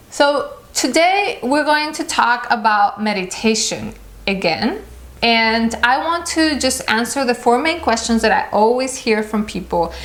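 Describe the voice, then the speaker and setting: A woman speaks at a high pitch with lively intonation. Some room echo is audible. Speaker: meditation vlogger. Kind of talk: casual talk to camera. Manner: halting.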